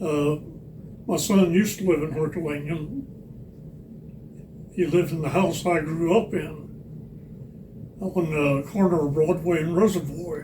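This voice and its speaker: A man at a fairly slow pace with fairly even intonation, in audible room echo. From Missouri. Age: 90s. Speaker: longtime resident, Air Force veteran. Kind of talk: oral history interview.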